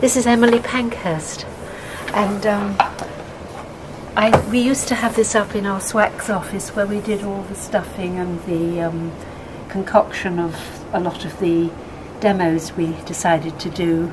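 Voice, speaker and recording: Over noticeable background noise, the speaker moves at a fairly slow pace with long, frequent pauses and ordinary pitch variation. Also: woman, medium pitch for a woman. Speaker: retired social worker and activist. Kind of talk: casual exhibition talk to camera. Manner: hesitant, chatty.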